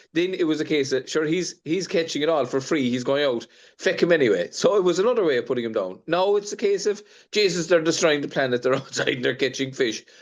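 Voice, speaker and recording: Against a quiet background, a man with an Irish accent speaks at a very fast pace in a fairly high pitch with lively intonation. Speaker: fishing industry representative. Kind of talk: panel discussion. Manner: animated.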